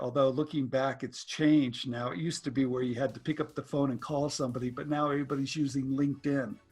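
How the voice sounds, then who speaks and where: Talking at a fairly quick pace, a man uses an ordinary speaking voice. His pitch is fairly high, and his intonation is fairly even. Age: 60s. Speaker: inventor and licensing educator. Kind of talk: interview.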